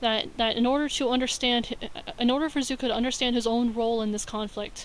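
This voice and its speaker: This woman's voice has a fairly high pitch. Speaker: film studies student. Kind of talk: video essay narration. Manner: stutter.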